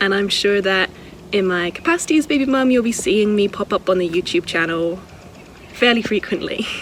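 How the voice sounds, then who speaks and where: Over the noticeable background noise, the intonation sounds lively. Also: woman. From Scotland. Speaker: wildlife sanctuary worker. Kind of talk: casual vlog walkthrough.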